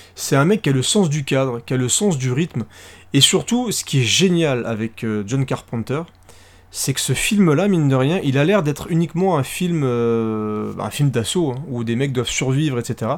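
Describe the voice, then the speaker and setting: Fairly high in pitch, a man speaks at a fairly slow pace with lively intonation, captured in a very clean recording with a silent background. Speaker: podcast co-host. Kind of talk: casual chat. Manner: animated.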